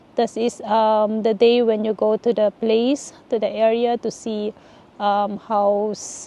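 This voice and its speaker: A woman with a Filipino accent speaks very slowly at a fairly high pitch. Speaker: vlogger, nurse living abroad. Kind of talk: casual advice vlog. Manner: halting, many fillers.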